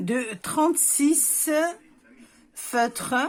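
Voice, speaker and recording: A woman speaks with a southern French accent. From southern France, near Béziers, Hérault. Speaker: visual artist, scrapbooker. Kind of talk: casual craft tutorial talk to camera.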